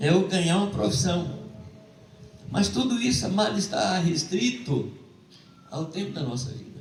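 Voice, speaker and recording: A man's high-pitched voice at a moderate pace, with very wide pitch swings, long, frequent pauses, audible room echo and noticeable background noise. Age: 70s. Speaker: preacher. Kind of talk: sermon.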